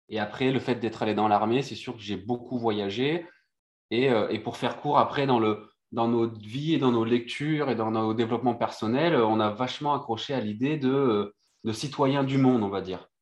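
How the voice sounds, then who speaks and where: Against a quiet background, a man with an unremarkable speaking voice talks at a medium pitch and moderate pace, his intonation fairly even. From Réunion and Brittany, France. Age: 30s. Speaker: sailor and former marine commando. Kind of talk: casual interview chat.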